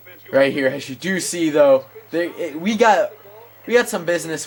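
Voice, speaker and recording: A man's pitch swings very widely as he speaks at a moderate pace, with noticeable background noise behind him. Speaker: gaming commentator. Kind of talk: gameplay commentary. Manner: self-described awkward delivery.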